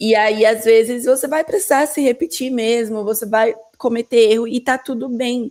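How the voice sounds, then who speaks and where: A woman talks at a moderate pace with hardly any pauses. Her high voice keeps fairly even intonation. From São Paulo, Brazil. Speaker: career coach for immigrant women. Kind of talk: casual interview chat.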